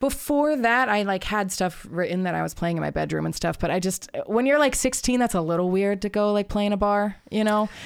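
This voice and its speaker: A woman with an American accent speaks in an ordinary speaking voice at a medium pitch with ordinary pitch variation, talking at a fairly quick pace with hardly any pauses in a very clean recording against a silent background. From Arizona, US (Tucson). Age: 20s. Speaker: musician and therapist. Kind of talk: casual chat. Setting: in-person at host's home.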